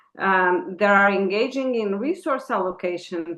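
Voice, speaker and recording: A woman speaks with a Portuguese accent and lively intonation. Her pitch is fairly high. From Portugal. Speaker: inclusive education consultant. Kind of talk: webinar presentation. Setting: online webinar with slides.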